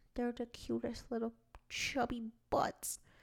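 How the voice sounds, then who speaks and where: A woman with an ordinary speaking voice talks at a moderate pace and a fairly high pitch, in a very clean recording with a silent background. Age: 30s. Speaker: creative director and podcast co-host. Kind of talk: casual chat.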